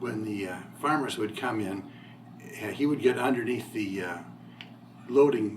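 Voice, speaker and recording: Speaking at a fairly slow pace, a man with an Ohio accent uses ordinary pitch variation. Noticeable background noise and audible room echo fill the recording. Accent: Midwestern US (Ohio). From northwest Ohio, Toledo area. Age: 60s. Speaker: local resident interviewee. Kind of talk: oral history interview.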